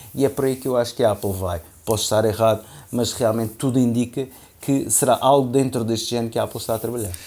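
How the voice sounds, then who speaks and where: At a very fast pace, a man speaks at medium pitch with a dark, mellow tone and fairly even intonation. The recording is very clean, with a silent background. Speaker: tech podcast co-host. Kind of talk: casual chat. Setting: holiday house.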